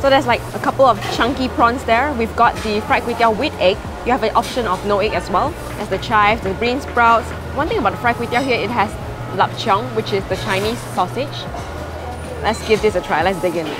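With clear music in the background, the speaker moves at a fairly quick pace with ordinary pitch variation. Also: woman. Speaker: food vlogger. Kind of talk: casual vlog chat. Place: market. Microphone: lapel.

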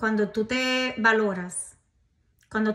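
The tone is fairly bright, and the intonation stays fairly even. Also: woman.

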